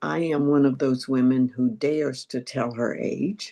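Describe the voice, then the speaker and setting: A woman with an American accent talks at a very slow pace against a quiet background. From North Carolina. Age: 90s. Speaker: AA speaker. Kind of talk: recovery testimony.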